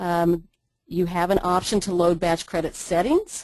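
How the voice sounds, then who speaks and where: A woman at medium pitch, fairly slow, over a quiet background. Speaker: ambulance billing trainer. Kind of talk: webinar tutorial. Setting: online webinar.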